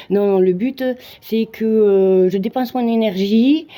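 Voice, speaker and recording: Her voice is medium in pitch. This woman's tone is dark and mellow. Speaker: amateur Muay Thai fighter. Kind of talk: casual vlog monologue. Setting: gym.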